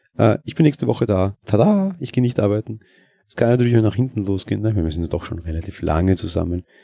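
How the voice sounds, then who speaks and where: A man's very fast, lively delivery with big swings in loudness, a dark, mellow tone and a fairly low pitch. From Austria, Vienna. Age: 20s. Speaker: podcaster. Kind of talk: casual monologue. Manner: hesitant, many fillers.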